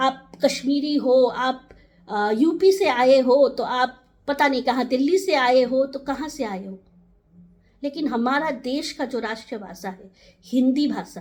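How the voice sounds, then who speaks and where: A woman's high-pitched voice shows big swings in loudness. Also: ordinary pitch variation. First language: Nepali (speaking Hindi). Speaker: community advocate. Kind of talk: direct-to-camera talk.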